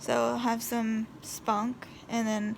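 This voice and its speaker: Noticeable background noise accompanies talking that goes at a very slow pace. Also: woman. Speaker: vlogger and hospital patient. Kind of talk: casual vlog. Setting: hospital room. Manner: hesitant, many fillers.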